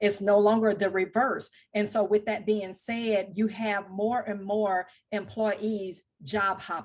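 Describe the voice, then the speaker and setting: A woman with a Southern US accent speaks at a very slow pace against a quiet background. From US South, Louisiana and Mississippi. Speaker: technical recruiter. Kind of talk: podcast interview. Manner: formal.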